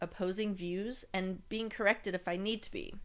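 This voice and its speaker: In a very clean recording with a silent background, a woman with a plain, everyday voice speaks at a fairly slow pace, medium pitch and ordinary pitch variation. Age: 50s. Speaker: podcast host. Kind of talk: personal storytelling monologue.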